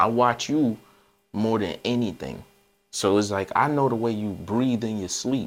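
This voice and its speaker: Here is a plain, everyday voice from a man at a medium pitch. He talks at a moderate pace with ordinary pitch variation. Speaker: podcast host and DJ. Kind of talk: casual chat.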